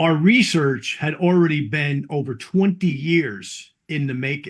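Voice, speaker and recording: A man speaks in a fairly high voice. The background is quiet. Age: 60s. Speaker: network marketing distributor. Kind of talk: interview. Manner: halting.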